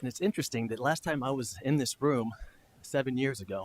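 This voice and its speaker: Delivery comes at a fairly quick pace with ordinary pitch variation. The sound is dry and close, with no echo. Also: man. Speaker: public commenter, former town council member. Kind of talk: public comment at council meeting. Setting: council chamber with audience. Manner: soft-spoken. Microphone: too quiet at first.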